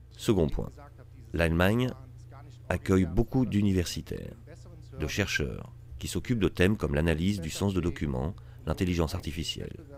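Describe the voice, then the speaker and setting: A man with a German accent talks at a moderate pace in a very deep, low voice with vocal fry and ordinary pitch variation. His speech has long, frequent pauses. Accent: German-speaking accent in French. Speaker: consultancy founder presenting at a conference. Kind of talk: business presentation. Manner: formal.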